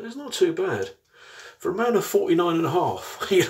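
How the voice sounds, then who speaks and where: A man's extremely high pitch, with very wide pitch swings, over a quiet background. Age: 40s. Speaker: product reviewer. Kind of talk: casual tutorial chat. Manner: casual, chatty. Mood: pleased, relaxed. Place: bathroom. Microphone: phone near.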